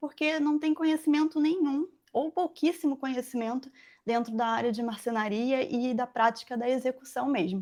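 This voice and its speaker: High-pitched woman with a dark, mellow tone. She keeps a moderate pace and ordinary pitch variation. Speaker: furniture-making mentor and former factory owner. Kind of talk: live webinar presentation. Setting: online live stream. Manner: halting, many fillers.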